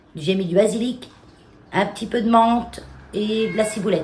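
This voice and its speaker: A woman speaks at a medium pitch. The room echo is audible, and there is noticeable background noise. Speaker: home and garden vlogger. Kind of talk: casual vlog talk to camera. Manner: hesitant, many fillers.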